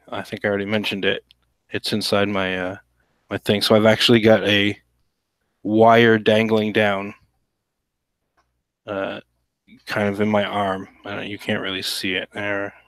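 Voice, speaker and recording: A man speaks quietly and in a relaxed tone at a moderate pace, his fairly low voice flat and monotone, with long, frequent pauses and a dry, close sound that has no echo. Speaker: cartoonist livestreaming drawing. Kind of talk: casual livestream chat while drawing. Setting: home livestream. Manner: hushed, keeping voice quiet; relaxed, hesitant with many fillers.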